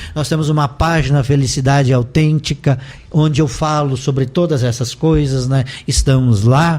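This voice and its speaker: This man speaks at a moderate pace in a fairly high, somewhat breathy voice, with fairly even intonation and very even loudness. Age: 60s. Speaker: life coach and professor. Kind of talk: interview testimony. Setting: radio studio.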